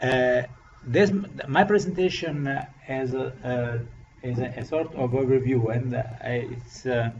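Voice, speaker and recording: Amid audible room echo and noticeable background noise, a man with an Italian accent speaks fairly slowly at a medium pitch with ordinary pitch variation. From Italy. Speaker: professor. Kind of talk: lecture. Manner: halting.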